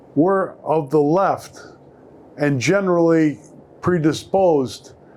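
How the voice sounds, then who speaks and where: With a Chicago accent, a man talks at a very slow pace, his fairly high pitch showing ordinary variation. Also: long, frequent pauses. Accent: Chicago American English. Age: 60s. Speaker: newspaper columnist. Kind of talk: live panel talk. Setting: stage with audience.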